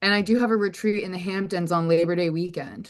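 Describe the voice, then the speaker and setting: A woman in a normal speaking voice, fairly even intonation and a moderate pace, against a quiet background. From US South. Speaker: somatic coach. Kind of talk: casual chat. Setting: video call.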